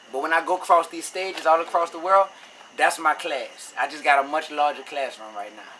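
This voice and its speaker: Against noticeable background noise, a man with a New Orleans accent talks at a fairly quick pace and a fairly high pitch, with ordinary pitch variation and big swings in loudness. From New Orleans, Louisiana, US South. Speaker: rapper. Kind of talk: interview. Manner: casual, conversational.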